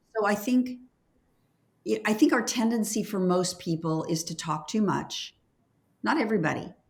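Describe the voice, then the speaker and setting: Speaking at a moderate pace with long, frequent pauses, a woman uses lively intonation and an enthusiastic tone in a somewhat breathy, medium-pitched voice. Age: 70s. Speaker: leadership consultant and former nurse. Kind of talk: interview conversation.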